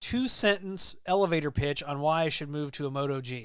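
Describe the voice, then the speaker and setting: A man with an American accent, fairly high in pitch, with lively intonation at a moderate pace, in a very clean recording with a silent background. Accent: Midwestern accent, others notice it. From US Midwest. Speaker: tech live streamer. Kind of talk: live stream chat reading comments. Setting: live stream. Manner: casual, filler-heavy.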